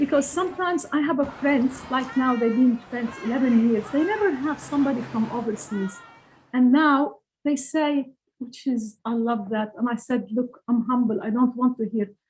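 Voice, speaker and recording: A woman with a Lebanese accent and high pitch. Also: ordinary pitch variation, moderate pace. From Lebanon. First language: Arabic. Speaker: author. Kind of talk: interview. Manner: halting.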